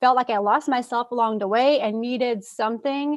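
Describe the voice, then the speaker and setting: In a French-Canadian accent, a woman speaks at a moderate pace with ordinary pitch variation over a quiet background. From Quebec City, Canada. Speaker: fitness coach for mothers. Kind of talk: podcast interview. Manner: casual, with fillers.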